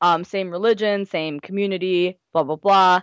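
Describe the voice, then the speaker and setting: Using a plain, everyday voice, a woman with an American accent speaks at a moderate pace and a fairly low pitch. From US, Gujarati Indian family. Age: 20s. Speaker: blogger and writer. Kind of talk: casual interview chat.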